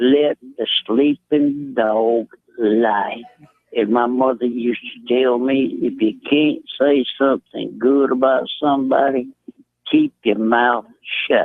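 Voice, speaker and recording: A man in a Southern US accent speaks at a very slow pace with medium pitch, very even loudness, and monotone, flat intonation. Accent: Southern American. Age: 70s. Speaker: caller. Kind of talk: radio call-in. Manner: polite, measured.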